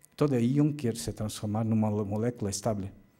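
Against a quiet background, a man with a Portuguese accent speaks at medium pitch in a dark, mellow tone, with ordinary pitch variation. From Brazil. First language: Portuguese (speaking Spanish). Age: 50s. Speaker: occupational medicine doctor and professor; physician lecturer. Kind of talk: lecture. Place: hall.

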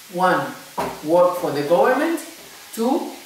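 A man with a Spanish accent and a high pitch, audible room echo, and light background noise. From Tenerife, Canary Islands. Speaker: English teacher. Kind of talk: casual interview. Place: home room. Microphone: camera far.

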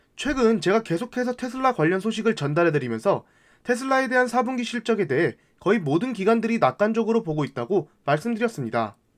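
A man talks at a fairly quick pace in a high voice with very wide pitch swings. The recording is very clean, with a silent background. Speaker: finance YouTuber. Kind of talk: scripted narration. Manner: formal.

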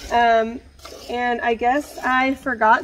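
The intonation stays fairly even over light background noise. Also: woman. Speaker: homesteader, small farmer. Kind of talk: casual vlog chat. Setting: outdoors, milking a cow in the barn. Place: farm machine. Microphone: earbuds.

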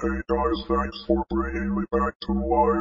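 Delivered at a fairly slow pace, this put-on character voice keeps a monotone, flat intonation. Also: man, very deep, low pitch for a man.

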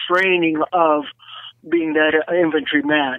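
A man's high-pitched voice with an American accent, in a dry, close sound with no echo. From Southern California (North Hollywood). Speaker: retired Marine gunnery sergeant. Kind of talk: casual interview, war recollections. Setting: phone call. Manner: halting, many fillers.

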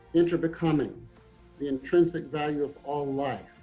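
With faint music in the background, a man speaks at a moderate pace in a monotone, flat intonation. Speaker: website editor and interviewer. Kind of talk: host introduction. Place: home room. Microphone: webcam.

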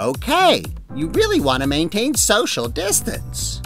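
A man at a fairly slow pace, with clear music in the background. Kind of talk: infomercial pitch. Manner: upbeat, reassuring salesman.

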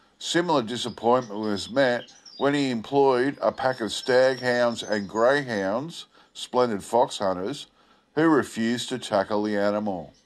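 A man with an Australian accent speaks at a fairly slow pace, using a medium pitch and ordinary pitch variation. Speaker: video channel host. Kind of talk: old newspaper report read aloud, then casual commentary. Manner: halting with fillers when commenting.

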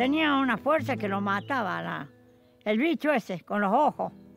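Lively intonation comes through in a dry recording with no echo, while faint music plays in the background. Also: woman. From Chuña, Córdoba, Argentina. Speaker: rural storyteller. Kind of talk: interview answer, folk tale telling. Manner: serious. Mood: earnest, cautious, storytelling. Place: garden.

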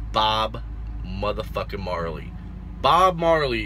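With music playing in the background, the speech unfolds at a fairly slow pace. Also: man. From Puerto Rican family, born in El Paso, Texas. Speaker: truck driver vlogger. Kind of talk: casual vlog monologue. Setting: at a truck yard, selfie video. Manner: laid-back, swearing, laughing. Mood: relaxed, joking, slangy. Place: car. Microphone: phone near.

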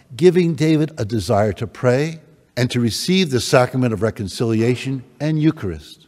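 Natural reading voice, nothing more

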